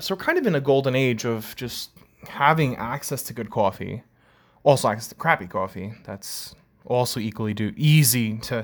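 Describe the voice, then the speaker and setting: A man's medium-pitched voice with an American accent, ordinary pitch variation, big swings in loudness and a moderate pace, on a very clean recording with a silent background. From New York, Long Island. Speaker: podcast host, coffee industry worker. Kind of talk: casual solo podcast monologue.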